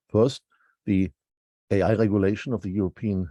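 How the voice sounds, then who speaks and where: A man with a German accent, fairly low pitch, dark, mellow tone, ordinary pitch variation and moderate pace, in a dry, close sound with no echo over a quiet background. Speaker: law professor. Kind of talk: prepared lecture.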